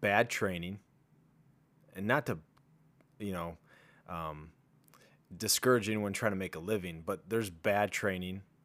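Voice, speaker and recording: A man's fairly low voice, a plain, everyday voice, at a fairly slow pace with fairly even intonation, on a very clean recording with a silent background. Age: 30s. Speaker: fitness podcast host. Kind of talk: casual chat.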